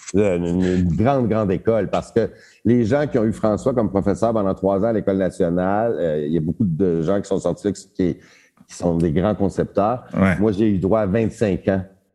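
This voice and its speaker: In a dark, mellow tone, a man talks at a moderate pace and fairly low pitch, with ordinary pitch variation and very even loudness. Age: 60s. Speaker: theatre director. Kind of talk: casual interview.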